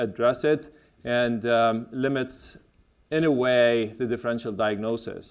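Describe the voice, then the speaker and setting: A man speaks with a Lebanese accent. The recording is very clean, with a silent background. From Lebanon. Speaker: gastroenterologist, medical lecturer. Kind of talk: medical lecture. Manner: hesitant, many fillers.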